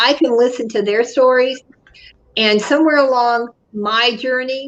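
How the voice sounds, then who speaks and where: The speaker uses a normal speaking voice at a moderate pace with ordinary pitch variation. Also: woman. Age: 60s. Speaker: business consultant and author. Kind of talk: interview conversation.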